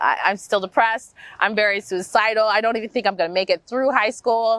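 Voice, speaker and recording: An unremarkable speaking voice with an American accent moves at a fairly quick pace with ordinary pitch variation. The sound is dry and close, with no echo. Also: woman. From US Midwest, Wichita, Kansas. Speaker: movement coach and yoga instructor. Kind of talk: interview, personal life story. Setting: outdoors in a park. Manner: casual, many fillers (um, like).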